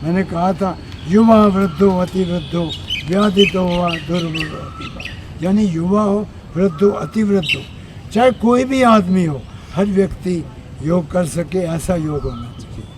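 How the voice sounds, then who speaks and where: A high-pitched male voice with ordinary pitch variation amid noticeable background noise. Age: 80s+. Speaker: yoga teacher. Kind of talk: interview. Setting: outdoors outside a press club.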